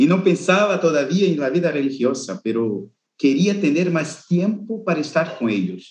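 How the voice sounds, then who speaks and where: A man with a Portuguese accent speaks at a moderate pace in a fairly high pitch, his voice showing vocal fry. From Brazil, northeast. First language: Portuguese (speaking Spanish). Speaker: Jesuit brother, youth vocations coordinator. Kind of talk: interview conversation.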